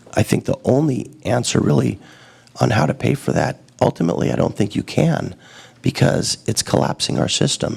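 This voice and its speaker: Over noticeable background noise, a man with a very deep, low pitch speaks at a moderate pace, making very wide pitch swings. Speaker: political candidate. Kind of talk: campaign speech. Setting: public event with audience.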